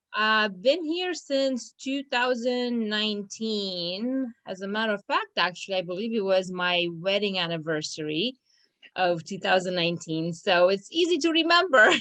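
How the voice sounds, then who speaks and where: With a Romanian accent, a woman speaks in a bright, sharp tone at a medium pitch and a moderate pace, her pitch swinging very widely. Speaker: law firm business manager. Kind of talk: casual interview. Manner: hesitant, many fillers.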